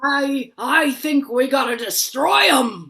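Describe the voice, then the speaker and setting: A put-on character voice, high in pitch, delivers its lines at a fairly slow pace. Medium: stage play.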